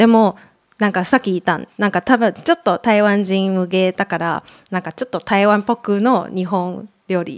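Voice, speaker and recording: On a very clean recording with a silent background and a dry, close sound with no echo, a woman speaks with a Mandarin Chinese accent. Her pitch is medium, her pitch variation ordinary, and her pace moderate. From Taiwan, Taipei. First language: Mandarin Chinese (speaking Japanese). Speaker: podcast guest. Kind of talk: casual chat. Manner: halting, many fillers.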